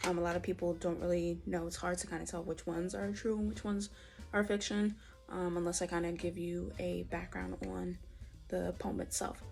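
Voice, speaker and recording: A woman talks at a moderate pace while noticeable background noise is heard. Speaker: poet. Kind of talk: casual talk to camera.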